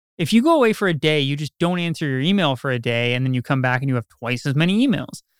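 A man at a very fast pace with very wide pitch swings, dry and close with no echo, on a very clean recording against a silent background. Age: 30s. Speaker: realtor. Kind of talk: interview.

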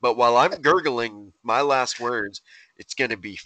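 A man talks at a moderate pace in an ordinary speaking voice. The background is quiet. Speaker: podcast co-host. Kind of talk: casual banter, comedic rants. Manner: profane, jokey.

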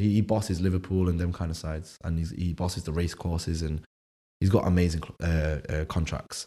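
Recorded very cleanly against a silent background, a somewhat breathy voice with a dark, mellow tone and a Manchester accent moves at a fairly quick pace. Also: man. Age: 20s. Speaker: chef and food business founder. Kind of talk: casual interview chat.

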